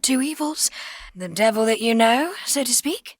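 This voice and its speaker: A woman speaks in a British RP accent at a high pitch. The sound is dry and close, with no echo. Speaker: voice actor. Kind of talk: audiobook narration.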